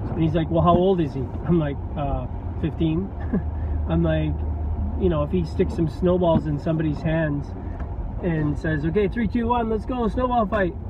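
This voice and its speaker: A man speaking at a moderate pace with long, frequent pauses, a dry sound with no echo, and noticeable background noise. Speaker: vlogger. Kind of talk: casual vlog chat. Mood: amused, laughing. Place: car. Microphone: phone near.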